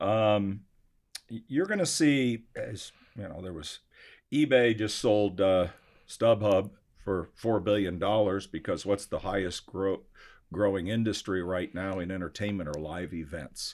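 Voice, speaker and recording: A man talks fairly slowly at a fairly low pitch, with ordinary pitch variation. His loudness swings widely, and he has a plain, everyday voice. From Arizona (Scottsdale). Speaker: collector car auction company executive. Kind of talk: interview.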